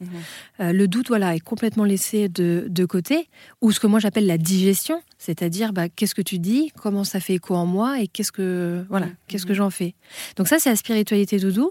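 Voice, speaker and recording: A woman with a medium-pitched, dark, mellow voice speaks at a fairly quick pace with ordinary pitch variation, in a dry, close recording with no echo that is very clean and has a silent background. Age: 30s. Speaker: spiritual author. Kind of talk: interview.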